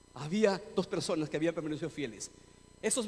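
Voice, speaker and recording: A man speaks in an animated tone over noticeable background noise. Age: 60s. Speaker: pastor. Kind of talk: sermon.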